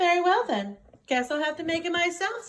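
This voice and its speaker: A woman's squeaky, put-on character voice at an extremely high pitch and a fairly quick pace. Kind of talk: bedtime story. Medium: read story. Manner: brisk, determined.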